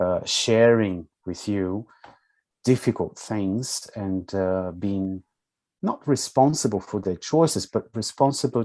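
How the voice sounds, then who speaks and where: A man speaks in a calm tone with a Portuguese accent over a quiet background. He goes at a fairly slow pace. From Brazil, São Paulo. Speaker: social work educator and counsellor. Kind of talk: interview.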